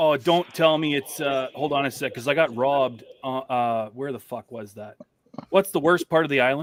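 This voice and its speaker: Using an ordinary speaking voice, a man with a Canadian accent talks at a moderate pace with a fairly high pitch, ordinary pitch variation, and big swings in loudness. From British Columbia, Canada. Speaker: podcast guest. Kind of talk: casual chat.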